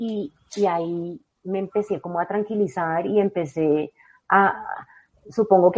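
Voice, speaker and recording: A woman has an ordinary speaking voice at a medium pitch with ordinary pitch variation. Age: 40s. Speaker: novelist. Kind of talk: interview.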